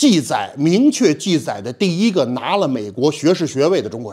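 His pitch swings very widely as a man speaks at a moderate pace. His tone is dark and mellow, and the background is quiet. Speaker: history teacher. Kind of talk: lecture. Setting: stage with audience. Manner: animated. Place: classroom.

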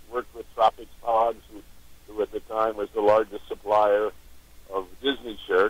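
Recorded dry with no echo, this voice moves at a moderate pace and has big swings in loudness. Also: man. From New York and Pittsburgh. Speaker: auction company founder. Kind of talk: phone-in interview. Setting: phone call. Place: studio.

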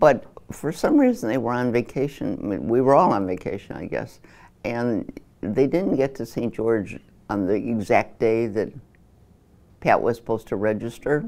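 The voice carries an American accent and a dark, mellow tone. It moves at a moderate pace with lively intonation. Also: woman, very deep, low pitch for a woman. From Chicago, Illinois. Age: 80s+. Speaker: interviewee. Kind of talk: interview answer. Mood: reflective, animated at times. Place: studio.

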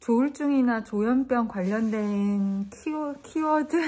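Somewhat breathy woman's voice with a dark, mellow tone and ordinary pitch variation. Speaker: vlogger. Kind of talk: casual vlog chat. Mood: subdued, sad, reflective. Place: home room. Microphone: phone near.

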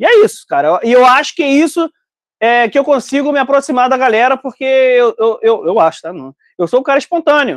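This man talks in an extremely high pitch with an animated tone and a fairly quick pace. The sound is dry with no echo over a quiet background. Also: lively intonation. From Brazil. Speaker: online business educator and importer; online business educator. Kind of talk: live stream casual chat with audience. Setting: live stream video call with group. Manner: casual, talkative, animated. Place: shop. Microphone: lapel.

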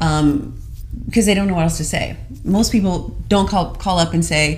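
Over music in the background, a woman speaks at a fairly low pitch with ordinary pitch variation. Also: moderate pace. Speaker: show co-host. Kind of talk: business talk show explanation. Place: studio.

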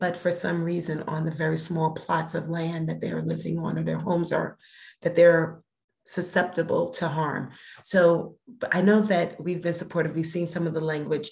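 Woman's fairly low voice with vocal fry, a moderate pace and a monotone, flat intonation. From Brooklyn, New York; New York. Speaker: cannabis regulatory board chair; guest. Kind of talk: interview. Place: home room. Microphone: video call.

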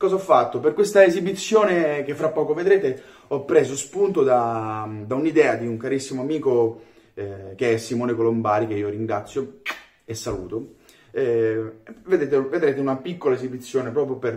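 A man's somewhat breathy voice at a moderate pace against a quiet background. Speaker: theatre actor. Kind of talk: casual video message. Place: kitchen. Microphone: phone near.

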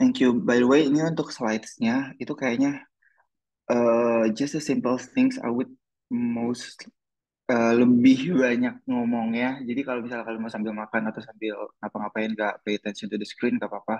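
A man speaks with an ordinary speaking voice at a medium pitch and a moderate pace. His intonation is fairly even against a quiet background. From Indonesia. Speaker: exchange student, essay workshop presenter; presenter. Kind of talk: online workshop presentation. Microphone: video call.

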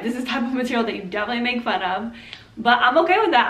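A woman talks with ordinary pitch variation. Some room echo can be heard. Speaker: comedy skit creator. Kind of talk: casual vlog chat. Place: home room.

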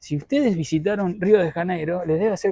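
Speech at a fairly quick pace comes through dry with no echo against a quiet background. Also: man. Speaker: travel vlogger. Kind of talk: casual vlog chat. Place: street. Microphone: lapel.

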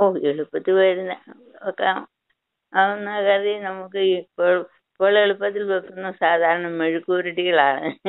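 Against a quiet background, a woman speaks in a monotone with flat intonation. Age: 80s+. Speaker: cooking channel grandmother. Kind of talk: radio phone interview answer. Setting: phone line. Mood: calm, gentle. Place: home room. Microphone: phone near.

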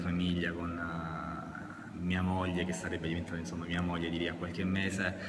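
With noticeable background noise behind him, a man talks at a moderate pace in a very deep, low voice. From Brindisi, Apulia, southern Italy; Apulia, Italy. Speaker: football referee; interviewee. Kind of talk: interview. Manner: halting. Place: hall. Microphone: camera far.

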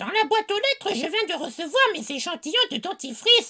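This woman's voice is extremely high, bright and sharp, raised and projected, animated, and swings very widely in pitch at a fairly quick pace. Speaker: comedy sketch character. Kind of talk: comic storytelling sketch with a scary-story setup. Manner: animated, exaggerated comic delivery.

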